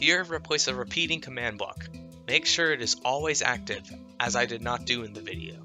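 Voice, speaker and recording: With music playing in the background, a man speaks at a moderate pace in a medium pitch that swings very widely. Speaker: gaming tutorial creator. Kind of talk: tutorial narration. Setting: home microphone, low quality.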